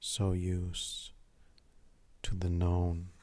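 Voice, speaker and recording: A man talks in a very deep, low pitch with a calm, soothing tone that is dark, mellow and somewhat breathy. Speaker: artist and mindfulness talker. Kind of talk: mindfulness talk, ASMR. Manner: slow, calm, soothing.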